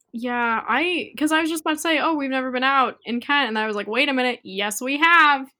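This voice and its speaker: With an American accent, a woman projects a raised voice at a high pitch, her tone bright and sharp and her pitch variation ordinary. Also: fairly quick pace. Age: 20s. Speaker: photographer and college student. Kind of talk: casual chat.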